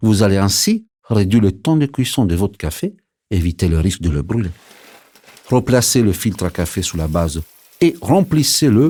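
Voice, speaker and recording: A man speaks at a moderate pace with long, frequent pauses, his fairly low pitch making very wide swings. His dark, mellow tone is somewhat breathy, and the recording is very clean with a silent background. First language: Italian (speaking French). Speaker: barista. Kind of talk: scripted narration. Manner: lively.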